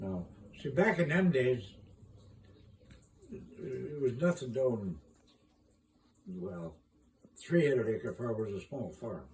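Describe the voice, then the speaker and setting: With a Midwestern American accent, a man talks very slowly and somewhat breathily, his pitch swinging very widely between long, frequent pauses. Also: medium pitch for a man. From Iowa, USA. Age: 80s+. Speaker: retired farmer and gardener. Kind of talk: casual conversation, reminiscing.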